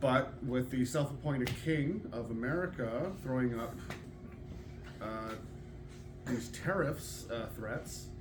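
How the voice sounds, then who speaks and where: Speaking very slowly with long, frequent pauses, a man with a Canadian accent keeps a medium pitch and ordinary pitch variation. Audible room echo and noticeable background noise fill the recording. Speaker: audience member asking a question. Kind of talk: public Q&A question. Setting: public hall with audience. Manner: halting.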